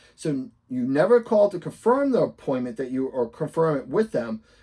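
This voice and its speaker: Over a quiet background, a man with a Boston accent speaks at a moderate pace, his fairly high voice carrying a dark, mellow tone. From Boston area, US. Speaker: real estate investor and coach; coach. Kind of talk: tutorial. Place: home room.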